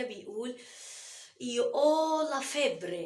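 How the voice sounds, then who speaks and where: A woman's voice with audible room echo. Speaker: Italian language teacher. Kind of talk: language tutorial.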